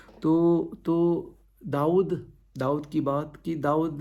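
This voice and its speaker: A man's fairly high-pitched voice, dark and mellow in tone, with audible room echo. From India (Goa). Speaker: pastor. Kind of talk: sermon. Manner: halting.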